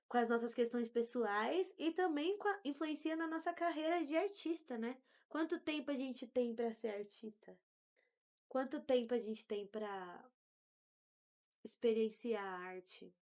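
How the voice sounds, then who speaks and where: The voice moves at a fairly slow pace, its pitch swinging very widely. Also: woman, high pitch for a woman. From São Paulo south zone, Brazil. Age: 30s. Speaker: podcast host. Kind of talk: casual conversation.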